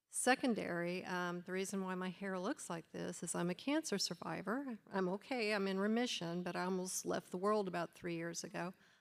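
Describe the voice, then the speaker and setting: A woman's plain, everyday voice, medium in pitch with ordinary pitch variation, at a fairly quick pace. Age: 60s. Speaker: audience member, engineer. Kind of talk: audience question.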